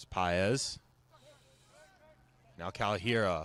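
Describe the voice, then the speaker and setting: This man has a plain, everyday voice, fairly low in pitch, with ordinary pitch variation. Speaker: sports broadcaster. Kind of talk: soccer play-by-play commentary.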